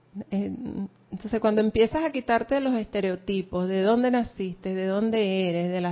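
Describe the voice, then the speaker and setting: Here a woman has a normal speaking voice at medium pitch. She keeps a moderate pace with ordinary pitch variation. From Venezuela. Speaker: class participant. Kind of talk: group class discussion.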